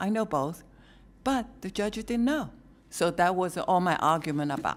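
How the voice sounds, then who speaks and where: A woman's medium-pitched voice with lively intonation at a moderate pace, in a very clean recording with a silent background. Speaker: public commenter. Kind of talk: public comment at a government meeting. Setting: county commission meeting, speaking at a microphone. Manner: soft-spoken.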